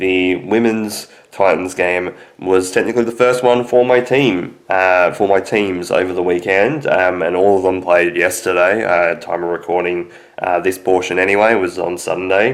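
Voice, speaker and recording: With an Australian accent, a man talks at a moderate pace in a very deep, low pitch. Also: fairly even intonation. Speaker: sports fan vlogger. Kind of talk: casual monologue. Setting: video recording.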